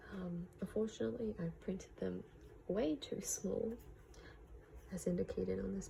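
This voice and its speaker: The speech comes at a fairly slow pace, in an Australian accent. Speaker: vlogger. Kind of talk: casual vlog narration. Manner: hesitant, many fillers.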